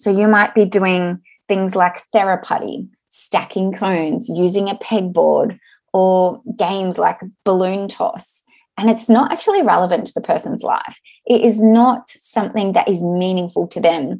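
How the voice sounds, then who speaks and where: A woman with an Australian accent at a fairly slow pace over a quiet background. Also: medium pitch for a woman, ordinary pitch variation. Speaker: podcast host, occupational therapist. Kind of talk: solo podcast monologue, event promotion.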